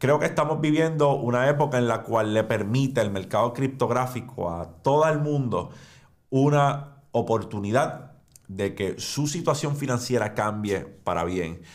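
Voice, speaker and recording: Over a quiet background, a man in a Puerto Rican accent speaks at a fairly slow pace with lively intonation. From Puerto Rico. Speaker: finance and crypto YouTuber; crypto YouTuber. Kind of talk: educational monologue. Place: studio.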